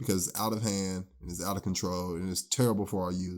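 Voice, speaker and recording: Mumbling at a very fast pace, a man speaks in a very deep, low pitch on a very clean recording with a silent background. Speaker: podcast co-host. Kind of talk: casual chat. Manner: mumbles some.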